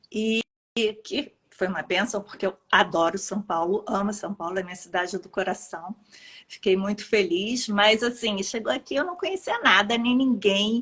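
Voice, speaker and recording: Speaking in a Rio de Janeiro accent, a woman keeps a moderate pace, medium pitch and ordinary pitch variation. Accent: carioca. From Brazil, Rio de Janeiro. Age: 50s. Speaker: pediatrician. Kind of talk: interview.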